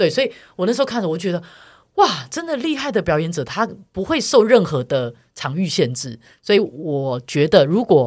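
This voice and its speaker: On a very clean recording with a silent background, the words arrive at a moderate pace. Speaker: podcast co-host. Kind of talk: casual chat.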